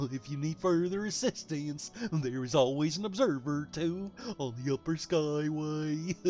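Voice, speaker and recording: A man puts on a character voice as clear background noise runs behind him. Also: fairly high pitch for a man, moderate pace. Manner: goofy, silly.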